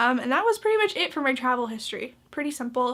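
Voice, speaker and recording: With a Canadian accent, the speaker talks at a very fast pace in an animated, bright, sharp tone with lively intonation. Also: woman. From Canada. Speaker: vlogger. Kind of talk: casual vlog tutorial. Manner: animated, filler-heavy.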